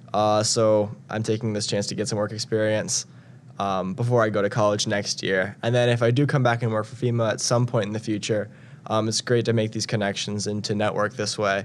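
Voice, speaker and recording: Fairly low in pitch, a man speaks in a normal speaking voice at a fairly quick pace with fairly even intonation. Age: young. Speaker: national service member. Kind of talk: interview.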